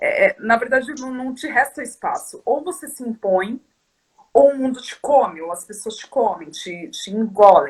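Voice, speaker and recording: Lively intonation marks a woman's high voice. Her pace is moderate. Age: 30s. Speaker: activist guest. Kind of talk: casual chat.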